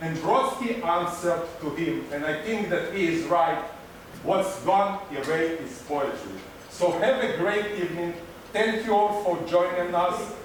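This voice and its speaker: A man's high-pitched voice at a fairly slow pace, with ordinary pitch variation, noticeable background noise and audible room echo. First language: not English. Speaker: cultural center host. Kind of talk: event welcome speech. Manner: halting. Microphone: microphone trouble, finishing without microphone.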